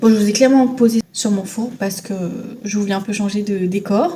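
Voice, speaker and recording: A woman with a Tahitian accent speaks at a moderate pace, her fairly high pitch showing ordinary variation. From Tahiti, French Polynesia. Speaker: lifestyle vlogger. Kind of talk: casual vlog chat.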